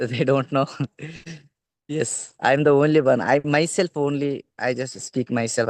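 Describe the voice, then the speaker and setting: A man with a Telugu accent speaks at medium pitch and a moderate pace. The sound is dry and close with no echo, and his intonation is fairly even. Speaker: English learner. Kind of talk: casual chat. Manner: loud.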